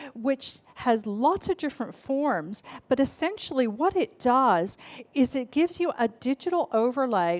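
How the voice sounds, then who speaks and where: Recorded very cleanly against a silent background, a woman with an American accent talks with lively intonation in a dry, close sound with no echo. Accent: half Australian, half American. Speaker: futurist keynote speaker. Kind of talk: keynote speech.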